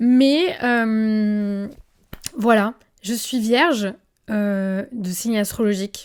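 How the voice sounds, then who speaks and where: A woman with a fairly high voice speaks in an animated tone. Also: very clean recording, silent background. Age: 20s. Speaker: influencer and podcast host. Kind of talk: casual podcast monologue. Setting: filmed podcast, seated in armchair.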